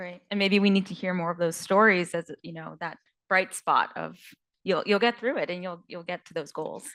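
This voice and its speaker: This woman has an ordinary speaking voice with an American accent. Her pitch is medium and her intonation fairly even. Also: moderate pace. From US Northeast, New York. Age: 30s. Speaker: panelist, business development leader. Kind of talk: panel discussion.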